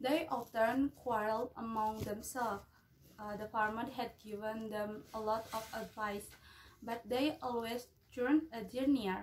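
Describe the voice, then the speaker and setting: With an Indonesian accent, a woman speaks at a fairly slow pace, in a fairly high pitch with fairly even intonation, over light background noise. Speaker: university student. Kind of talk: storytelling. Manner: halting. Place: home room. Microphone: phone near.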